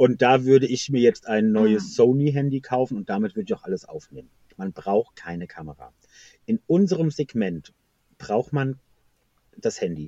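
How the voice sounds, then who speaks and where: A man's dark, mellow tone at a medium pitch, with very wide pitch swings, big swings in loudness, long, frequent pauses and a moderate pace, in a dry, close sound with no echo. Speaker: knitting YouTuber. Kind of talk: casual interview. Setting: in car on a hill, later phone. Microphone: quiet and poor connection, later phone.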